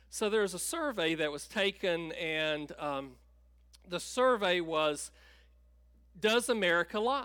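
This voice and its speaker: Speaking at a very slow pace with long, frequent pauses, a man with a North Carolina accent uses a high-pitched, bright, sharp tone and lively intonation on a very clean recording with a silent background. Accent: Southern US (North Carolina). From US South, North Carolina (Tabor City). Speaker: pastor. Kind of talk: sermon.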